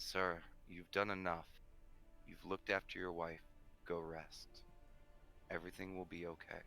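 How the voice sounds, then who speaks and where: A booming, put-on character voice from a man at a moderate pace, with long, frequent pauses, big swings in loudness and music in the background. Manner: reassuring, authoritative.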